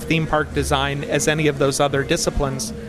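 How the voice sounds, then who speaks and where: With an American accent and a fairly high pitch, a man talks at a very fast pace over noticeable background noise. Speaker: theme park writer and designer. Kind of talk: casual interview.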